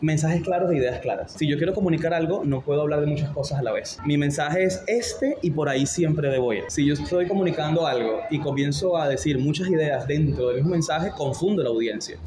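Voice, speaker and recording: Speech comes at a fairly quick pace with hardly any pauses and very even loudness. Noticeable background noise sits behind it. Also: man, fairly high pitch for a man, ordinary pitch variation. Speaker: radio announcer. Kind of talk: interview answer. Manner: natural, unpretentious.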